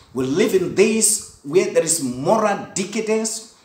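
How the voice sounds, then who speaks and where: A man's voice, high in pitch, carries audible room echo. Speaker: preacher. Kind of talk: sermon / Bible study teaching. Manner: earnest, didactic, preacherly with 'Amen' call-outs; rhetorical questions, emphatic and repetitive. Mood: earnest, sometimes smiling. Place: home room. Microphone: phone near.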